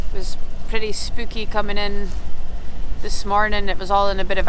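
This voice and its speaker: Recorded with a dry sound and no echo, a woman speaks at a moderate pace over noticeable background noise. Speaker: sailing vlogger. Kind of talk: casual vlog chat. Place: boat. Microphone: phone near.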